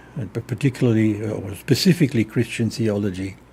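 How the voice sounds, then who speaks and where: Dark, mellow tone in a man's somewhat breathy voice. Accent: German. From Germany. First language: German. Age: 80s+. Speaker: theologian. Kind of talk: interview. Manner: halting.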